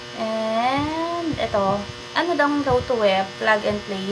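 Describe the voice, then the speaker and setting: This woman's medium-pitched voice carries audible room echo, with noticeable background noise behind it. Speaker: vlogger. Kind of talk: product review. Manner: soft-spoken.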